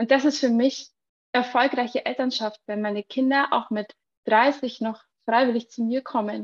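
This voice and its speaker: A woman speaks at a fairly high pitch and a moderate pace, with fairly even intonation and an unremarkable speaking voice. The sound is dry and close, with no echo. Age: 30s. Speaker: entrepreneur and mothers' coach. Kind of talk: podcast interview.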